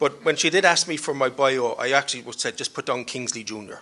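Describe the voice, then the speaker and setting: Speaking at a very fast pace with a Cork accent, a man has a fairly high pitch, a bright, sharp tone and fairly even intonation. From Ireland, Cork. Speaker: panelist, diaspora researcher. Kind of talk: panel discussion. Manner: hesitant, repeats words.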